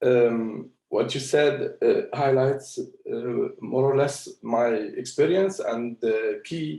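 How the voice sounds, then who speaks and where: A man at a very slow pace with hardly any pauses. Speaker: investment firm founder, panel speaker. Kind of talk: panel discussion. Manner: halting, many fillers.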